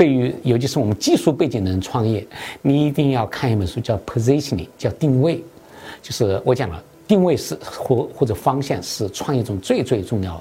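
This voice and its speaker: Lively in intonation, a man of medium pitch speaks at a moderate pace in a dark, mellow tone that is somewhat breathy. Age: 50s. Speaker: tech startup founder and CEO. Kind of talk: interview. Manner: hesitant, many fillers (啊、呃).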